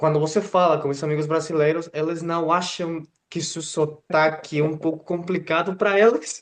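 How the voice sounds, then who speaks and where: A man with a fairly high pitch talks at a moderate pace with a Spanish accent. His intonation stays fairly even. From Mexico. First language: Spanish (speaking Portuguese). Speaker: channel host interviewer. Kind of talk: casual interview conversation. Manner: hesitant, many fillers.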